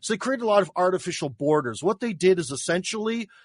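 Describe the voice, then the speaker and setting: A man with a Midwestern accent speaks in a high voice at a fairly quick pace. His intonation is lively, and the sound is dry and close with no echo. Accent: American Midwestern. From US Midwest (Cleveland, Ohio). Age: 40s. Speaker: radio host and YouTuber. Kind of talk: interview.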